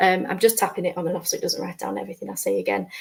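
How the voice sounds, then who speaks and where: A woman with a northern accent. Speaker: educator presenting a session. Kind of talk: tutorial. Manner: hesitant, many fillers.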